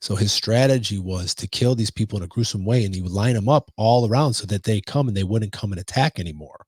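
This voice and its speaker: A man with a Chicago accent talks at a very fast pace with hardly any pauses, his fairly low, somewhat breathy voice animated in tone with ordinary pitch variation. The sound is dry and close, with no echo. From Chicago, US Midwest. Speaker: podcast co-host. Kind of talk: casual chat.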